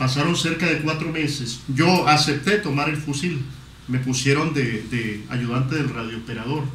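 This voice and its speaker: A man speaks at a moderate pace in a fairly high voice with ordinary pitch variation. Background noise is noticeable, and the room echo is audible. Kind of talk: testimony.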